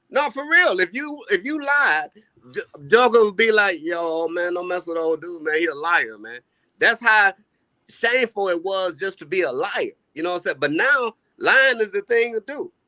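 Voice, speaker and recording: Raised and projected, a man's high-pitched voice with a bright, sharp tone swings very widely in pitch, recorded dry and close with no echo. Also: moderate pace. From US, multiple regions. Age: 50s. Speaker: caller. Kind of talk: casual chat.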